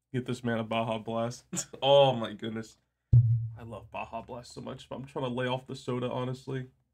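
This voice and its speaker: Music plays in the background as a man talks at a fairly quick pace. His medium-pitched voice stays monotone and flat. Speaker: live streamer. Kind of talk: casual chat. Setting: live stream.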